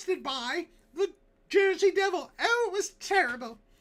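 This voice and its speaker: In a put-on character voice pitched extremely high, the speaker delivers the lines with a dramatic tone at a moderate pace. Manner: old-fashioned, dramatic.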